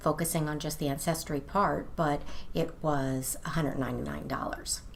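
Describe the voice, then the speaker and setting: Vocal fry runs through a woman's voice at a moderate pace. Audible room echo surrounds her. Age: 60s. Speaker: lifestyle vlogger. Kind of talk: casual video monologue. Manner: conversational, with fillers.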